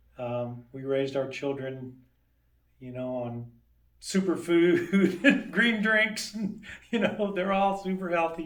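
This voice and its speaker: Delivered at a very slow pace with audible room echo, the voice has very wide pitch swings and big swings in loudness. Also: man, high pitch for a man. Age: 60s. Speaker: dentist. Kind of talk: interview. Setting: sit-down interview. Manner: casual, relaxed.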